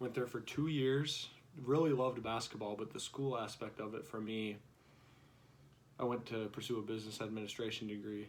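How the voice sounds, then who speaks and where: A man with an American accent talks at a fairly quick pace with fairly even intonation. Noticeable background noise is audible. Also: medium pitch for a man. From South Dakota, US Midwest. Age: 20s. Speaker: vlogger. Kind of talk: casual vlog monologue. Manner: halting, many fillers.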